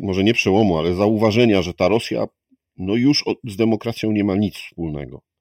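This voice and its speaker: In a very clean recording with a silent background and a dry, close sound with no echo, a man uses a normal speaking voice, fairly low in pitch with ordinary pitch variation, at a moderate pace. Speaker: podcast host. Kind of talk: interview.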